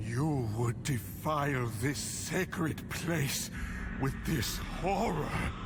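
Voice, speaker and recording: Loud background noise surrounds a man using a put-on character voice. His pitch is fairly high and his pace fairly slow. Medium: machinima. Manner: stern, righteous.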